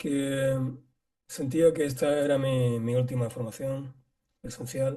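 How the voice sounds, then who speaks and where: A man with a fairly high pitch and a dark, mellow tone speaks at a very slow pace. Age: 60s. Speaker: qigong teacher. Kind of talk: casual chat.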